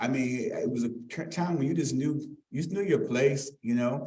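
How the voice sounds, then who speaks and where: This man has a dark, mellow tone at a fairly high pitch and sounds somewhat breathy. The room echo is audible. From Arlington, Virginia (Halls Hill). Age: 60s. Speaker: community speaker introducing a lecture. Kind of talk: public introduction speech. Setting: live event with audience. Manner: halting, many fillers; informal.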